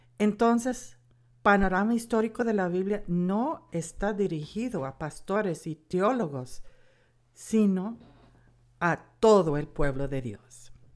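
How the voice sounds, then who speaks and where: A woman's lively, medium-pitched voice in an American accent, very slow, on a very clean recording with a silent background. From United States. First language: English (speaking Spanish). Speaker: Bible course teacher. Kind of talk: lecture.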